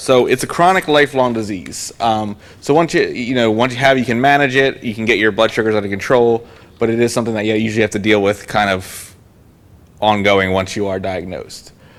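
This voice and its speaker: The man's medium-pitched voice moves along at a fairly quick pace, with ordinary pitch variation. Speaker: health educator. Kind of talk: lecture. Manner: fast.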